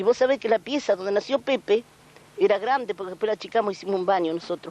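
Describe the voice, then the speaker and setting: A woman with a rural Rioplatense accent, very fast pace and lively intonation, in a dry, close sound with no echo. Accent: rural Argentine Rioplatense Spanish. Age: 70s. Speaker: aunt of a folk singer. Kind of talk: interview. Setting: at her family home. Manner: halting.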